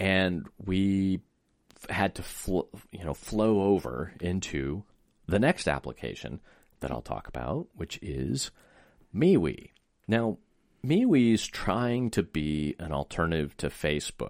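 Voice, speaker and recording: A man with a very deep, low pitch and very wide pitch swings, at a very slow pace with long, frequent pauses. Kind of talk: casual chat, informational.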